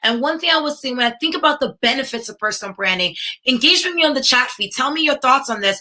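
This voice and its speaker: Speaking with a New York accent, a woman has a bright, sharp tone. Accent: American, New York. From New York, US. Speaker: tech entrepreneur and speaker. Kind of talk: conference keynote talk. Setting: virtual livestreamed summit. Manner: animated, addresses audience directly.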